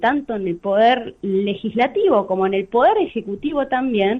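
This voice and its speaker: Her pitch is fairly high, and this woman's voice swings very widely in pitch. She keeps a moderate pace. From Argentina, Santa Fe province. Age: 30s. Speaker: lawyer. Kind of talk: radio interview. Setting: phone call.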